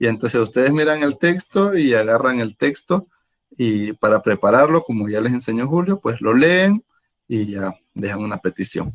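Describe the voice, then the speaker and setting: A man speaks with lively intonation. The sound is dry and close with no echo. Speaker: Jesuit priest leading prayer workshop. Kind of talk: online workshop teaching. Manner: fast.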